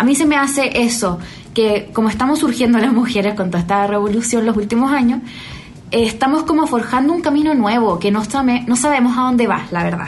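A woman with a strong Chilean accent and a high pitch talks at a fairly quick pace with ordinary pitch variation, amid audible room echo and noticeable background noise. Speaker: singer and rapper. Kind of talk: casual interview chat.

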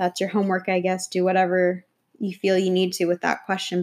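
Woman's voice at a medium pitch, in a very clean recording with a silent background. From New York. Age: 20s. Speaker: podcast host. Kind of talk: casual solo monologue.

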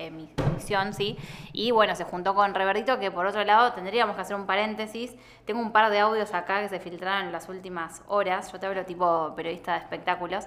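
With a Rioplatense accent and fairly even intonation, the speaker goes at a fairly quick pace over noticeable background noise. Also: woman, medium pitch for a woman. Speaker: podcast host. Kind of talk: casual chat.

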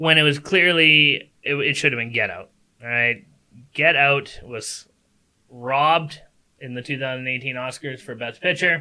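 An unremarkable speaking voice from a man, fairly high in pitch, fairly slow, with fairly even intonation and big swings in loudness. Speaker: podcast co-host. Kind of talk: casual banter debate show. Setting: home spare bedroom studio, livestreamed.

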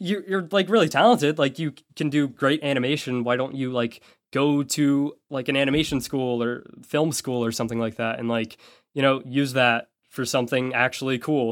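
The recording is very clean, with a silent background. A man with an ordinary speaking voice talks at a moderate pace, with medium pitch and ordinary pitch variation. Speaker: YouTuber and podcast co-host. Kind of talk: casual chat. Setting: voice call.

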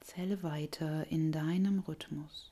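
A woman speaks at a very slow pace with a very deep, low pitch and a somewhat breathy voice. Her tone is soothing, gentle, dark and mellow. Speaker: yoga nidra guide. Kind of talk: guided meditation. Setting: recorded audio for listener lying down. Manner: slow, soft and soothing; gentle, calm, unhurried with long pauses.

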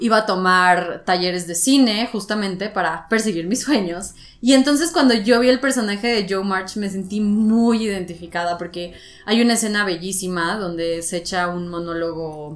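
A woman speaks in a normal speaking voice, her pitch sitting in the middle range with ordinary variation. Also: moderate pace. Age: 20s. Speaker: podcast host. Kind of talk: casual chat.

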